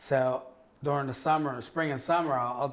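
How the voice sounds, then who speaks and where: At a moderate pace, a man with a plain, everyday voice speaks at medium pitch with ordinary pitch variation. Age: 40s. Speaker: divorced father sharing his story. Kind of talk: casual podcast interview.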